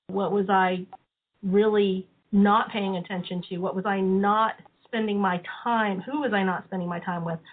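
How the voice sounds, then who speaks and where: A woman speaks in an ordinary speaking voice at a moderate pace, with medium pitch and fairly even intonation. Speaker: study group participant. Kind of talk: group discussion on conference call. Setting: phone call.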